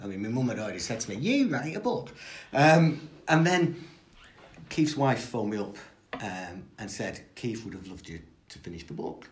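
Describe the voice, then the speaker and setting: In a room with audible echo, a man talks at a moderate pace in a somewhat breathy voice. His pitch swings very widely, and his loudness swings a lot too. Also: medium pitch for a man. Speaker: football historian. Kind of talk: interview.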